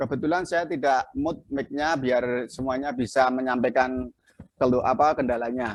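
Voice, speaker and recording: The man's pitch sits in the medium range and shifts in an ordinary way. He keeps a moderate pace. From Central Java, Klaten. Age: 50s. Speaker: video editing instructor. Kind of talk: online class tutorial. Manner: halting.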